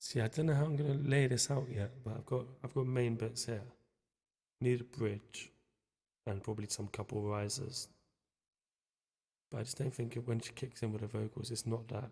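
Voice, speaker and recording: A soft-spoken man's dark, mellow, somewhat breathy voice at medium pitch, fairly even in intonation, at a moderate pace with long, frequent pauses. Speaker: music producer streaming a session. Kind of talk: casual chat while making music.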